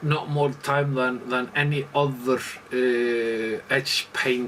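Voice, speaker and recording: A man with an Icelandic accent over noticeable background noise. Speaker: leatherworker. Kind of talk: tutorial. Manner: halting, many fillers.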